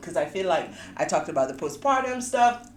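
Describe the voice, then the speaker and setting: With a West African accent, a woman talks in very wide pitch swings over noticeable background noise. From Sierra Leone, West Africa. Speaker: podcast host. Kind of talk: casual chat.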